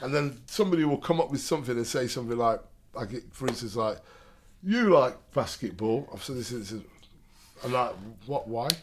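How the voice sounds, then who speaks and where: With an East Midlands accent, a man at medium pitch talks at a fairly quick pace but leaves long, frequent pauses. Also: lively intonation. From Derby, England. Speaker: poet. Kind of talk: casual chat; poetry performance. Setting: studio.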